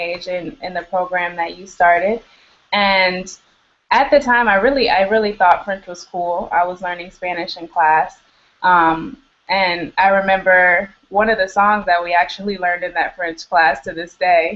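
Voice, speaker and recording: A woman with an American accent talks at a moderate pace and medium pitch, with ordinary pitch variation and big swings in loudness. She has an ordinary speaking voice. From US Midwest, south side of Chicago. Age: 20s. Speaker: middle school English teacher. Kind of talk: interview.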